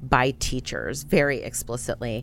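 A woman with an American accent, fairly even intonation and a fairly slow pace on a very clean recording with a silent background. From San Antonio, Texas. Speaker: nonprofit association director. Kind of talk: interview.

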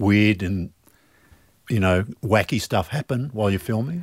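A man speaks in an Australian accent with lively intonation at a moderate pace. The recording is very clean, with a silent background and a dry, close sound with no echo. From Melbourne, Australia. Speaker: podcast host and trade magazine editor. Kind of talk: casual interview. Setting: studio.

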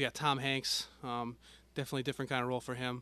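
Over a quiet background, a man with medium pitch and a bright, sharp tone speaks at a very fast pace, the sound dry and close with no echo. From Connecticut. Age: 20s. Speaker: podcast co-host. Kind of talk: casual chat.

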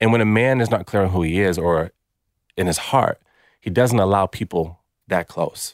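On a very clean recording with a silent background, a man with an American accent and a fairly low pitch talks at a moderate pace, with ordinary pitch variation and long, frequent pauses. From United States. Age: 30s. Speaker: former pro basketball player, men's coach. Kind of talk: interview. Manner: animated.

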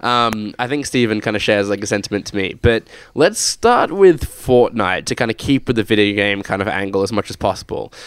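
In a very clean recording with a silent background, a man with an Australian accent talks at a fairly quick pace with hardly any pauses, using a fairly low pitch and ordinary pitch variation. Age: 20s. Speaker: podcast host. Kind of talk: casual chat. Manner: hesitant, many fillers.

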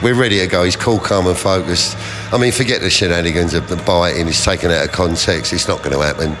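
Against noticeable background noise, a man with a very deep, low pitch talks at a very fast pace, his loudness very even and his pitch variation ordinary. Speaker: boxing trainer. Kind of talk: interview.

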